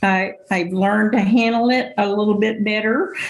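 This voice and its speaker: A woman with a fairly high pitch speaks at a fairly slow pace and fairly even intonation, with audible room echo around her. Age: 70s. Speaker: senior advisor. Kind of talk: podcast interview.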